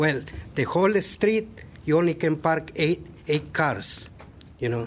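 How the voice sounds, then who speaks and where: With a non-native accent and vocal fry, the speaker goes at a fairly slow pace. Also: man, fairly high pitch for a man. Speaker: public commenter at city meeting. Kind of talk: public comment at planning meeting. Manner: halting.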